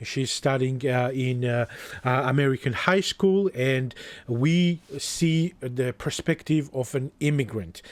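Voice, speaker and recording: On a very clean recording with a silent background, a man with a Georgian accent talks at a medium pitch and a very slow pace with ordinary pitch variation. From Georgia (country). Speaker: book youtuber. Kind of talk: book review monologue. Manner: halting, with fillers and restarts.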